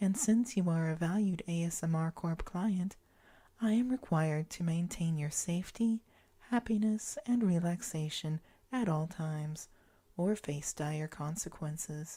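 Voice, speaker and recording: Slow-paced and gentle, a woman's fairly low, dark, mellow and somewhat breathy voice moves with ordinary pitch variation. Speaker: ASMR guided relaxation host. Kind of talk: guided imagery relaxation. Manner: slow, gentle, reassuring.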